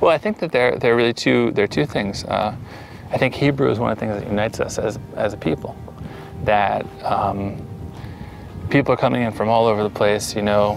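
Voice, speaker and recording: Over background music, a man with an American accent and a fairly low pitch talks at a fairly quick pace, broken by long, frequent pauses. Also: ordinary pitch variation. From US, Pennsylvania (Allentown). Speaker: settler interviewed about life in Israel. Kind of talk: interview.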